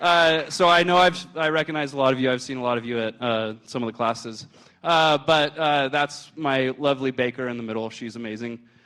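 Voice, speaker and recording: A loud man talks at a fairly quick pace with hardly any pauses, in a bright, sharp tone at a medium pitch with ordinary pitch variation. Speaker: hospital food service chef. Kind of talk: presentation to an audience. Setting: stage with audience, handheld mic. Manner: hesitant, many filler words.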